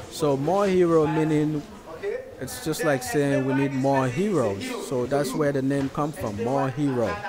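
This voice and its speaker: Noticeable background noise sits under a dry sound with no echo as a man with a fairly high pitch speaks at a fairly slow pace with ordinary pitch variation. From Sierra Leone (Freetown). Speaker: nonprofit founder and video blogger. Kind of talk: vlog voiceover commentary. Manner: halting, many repetitions and fillers.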